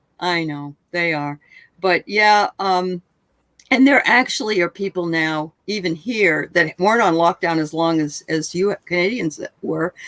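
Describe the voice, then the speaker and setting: This woman has an unremarkable speaking voice, fairly low in pitch with ordinary pitch variation, at a fairly slow pace. The recording is very clean with a silent background and a dry, close sound with no echo. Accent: American. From New Hampshire, US. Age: 60s. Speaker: channel host, interviewer. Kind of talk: casual chat.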